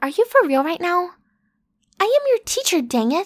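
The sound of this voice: A woman performs a put-on character voice at extremely high pitch. She talks fairly slowly, with big pitch swings.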